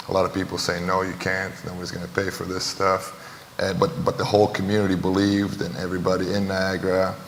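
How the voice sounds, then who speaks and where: A man speaks very fast in a very deep, low pitch and a flat monotone. Noticeable background noise and audible room echo surround him. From Romania. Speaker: basketball trainer and entrepreneur. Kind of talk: panel discussion.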